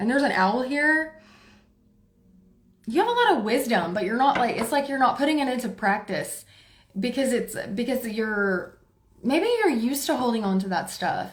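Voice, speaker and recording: Loud and high-pitched, a woman speaks with lively intonation and long, frequent pauses amid audible room echo. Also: moderate pace. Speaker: tarot reader. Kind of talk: live tarot reading. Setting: livestream. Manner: forceful.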